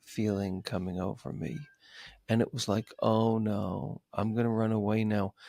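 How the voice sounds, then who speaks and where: A man with an unremarkable speaking voice and an American accent talks at a fairly slow pace with a fairly low pitch and fairly even intonation, the sound dry and close with no echo. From New York City. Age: 60s. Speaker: psychotherapist and author. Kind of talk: podcast interview.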